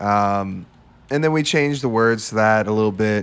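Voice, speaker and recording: At a moderate pace, a man talks in an unremarkable speaking voice with a fairly low pitch. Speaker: musician in a polka band. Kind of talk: casual chat. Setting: studio.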